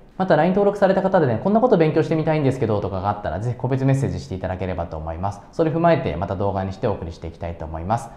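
Very fast speech from a man, with very wide pitch swings and audible room echo. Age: 30s. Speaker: business owner and self-improvement YouTuber; self-improvement YouTuber. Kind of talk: tutorial. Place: home room. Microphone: lapel.

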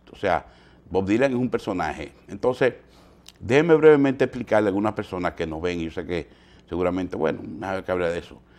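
Very fast and with lively intonation, a man speaks at a very deep, low pitch, his loudness swinging widely. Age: 50s. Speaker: TV news host. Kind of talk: morning news commentary. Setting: TV studio. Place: studio.

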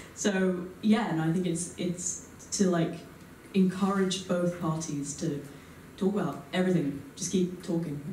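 Over light background noise and audible room echo, a woman talks fairly slowly. Her fairly low pitch carries fairly even intonation. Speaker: student audience member; audience member. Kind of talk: panel discussion answer. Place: hall.

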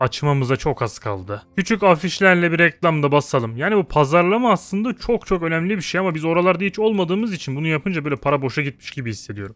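A man talks in an animated tone at a fairly quick pace. His intonation is lively. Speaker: gaming YouTuber. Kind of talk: gameplay commentary. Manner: casual, animated.

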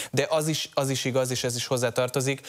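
A man talks at a fairly quick pace with monotone, flat intonation. The background is quiet. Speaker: policy analyst. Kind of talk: TV panel discussion. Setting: studio. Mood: serious, measured. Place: studio. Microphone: lapel.

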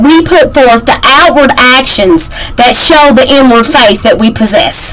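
Lively intonation at a fairly slow pace, with hardly any pauses. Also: woman. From Kentucky. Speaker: devotional teacher. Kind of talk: devotional Bible teaching. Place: home room. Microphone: webcam.

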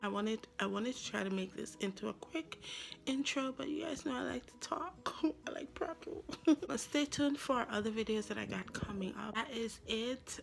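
Lively intonation marks this woman's moderate-paced speech, heard over light background noise. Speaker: vlogger. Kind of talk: casual vlog chat. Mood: friendly, laughing. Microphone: phone near.

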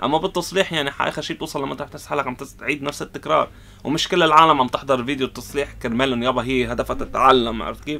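A man speaks with a Lebanese accent at a very fast pace. He barely pauses at all. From Lebanon. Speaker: YouTuber, console repair technician; repair channel host. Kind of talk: casual Q&A vlog. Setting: in his repair shop. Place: workshop.

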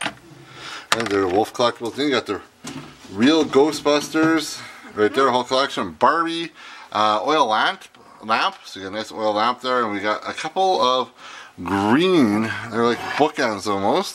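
With lively intonation, a man speaks in a medium pitch and a fairly bright tone. His pace is fairly slow.

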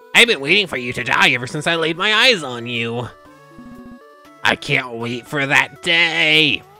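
Over clear background music, a man performs a put-on character voice, fairly high and strained. He moves at a moderate pace. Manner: menacing.

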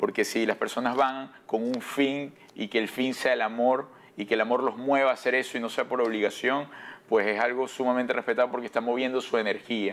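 Speaking fairly quickly, a man uses a medium pitch in a monotone, flat intonation. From Venezuela. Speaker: broadcaster and actor; actor. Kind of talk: TV interview. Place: studio. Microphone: lapel.

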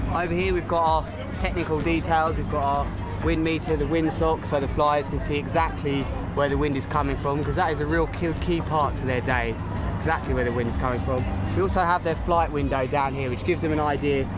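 Clear music plays in the background as a man talks at a fairly quick pace, the sound dry with no echo. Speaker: presenter. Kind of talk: on-location presenting. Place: waterside.

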